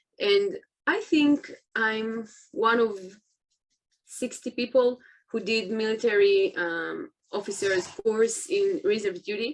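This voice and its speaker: Lively intonation at a very slow pace, broken by long, frequent pauses. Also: woman. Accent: Israeli. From Israel. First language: Hebrew. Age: 20s. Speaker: soldier. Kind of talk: interview. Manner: halting.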